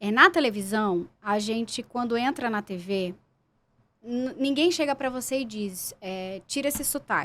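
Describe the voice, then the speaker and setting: Speaking at a fairly slow pace in a strong Pernambuco accent, a woman with a fairly high pitch uses lively intonation and a bright, sharp tone on a very clean recording with a silent background. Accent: strong Pernambuco accent off camera. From Pernambuco, Brazil. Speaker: actress and journalist. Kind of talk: podcast interview.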